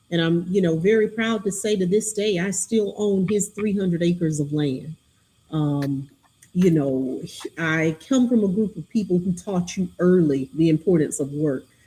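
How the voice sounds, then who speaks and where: Speaking with a Southern US accent, a woman has a fairly low pitch, a dark, mellow tone, a somewhat breathy sound and ordinary pitch variation. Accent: polished Southern drawl. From US South, Alabama (Greenville, Butler County). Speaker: county chief executive. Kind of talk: podcast interview.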